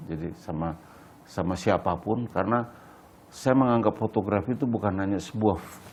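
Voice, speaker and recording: A man with a plain, everyday voice, fairly low in pitch, at a fairly quick pace with ordinary pitch variation. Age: 60s. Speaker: photographer. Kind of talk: interview. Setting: at his home.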